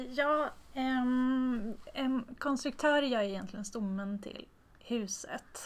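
A high-pitched woman's voice at a very slow pace, with ordinary pitch variation. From Tornedalen, northern Sweden (Haparanda). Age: 30s. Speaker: structural engineer. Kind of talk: interview. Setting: office meeting room.

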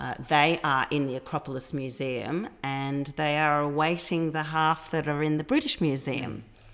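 With an Australian accent, a woman speaks at a very deep, low pitch and a moderate pace, with fairly even intonation and hardly any pauses, in a very clean recording with a silent background. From Australia, Melbourne. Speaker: cultural advocate. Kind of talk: interview.

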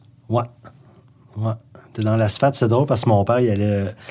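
With a Quebec accent, a man talks at a fairly low pitch in a somewhat breathy voice. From Gaspésie, Quebec. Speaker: musician and author. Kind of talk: casual chat.

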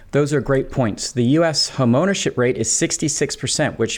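In an unremarkable speaking voice, a man with an American accent and medium pitch talks at a moderate pace with ordinary pitch variation. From UK until age seven, then US. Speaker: economist, podcast co-host. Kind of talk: scripted conversational podcast.

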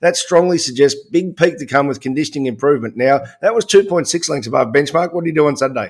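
Talking at a very fast pace, a man with an Australian accent shows ordinary pitch variation. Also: fairly high pitch for a man. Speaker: horse racing podcast host. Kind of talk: casual sports analysis chat.

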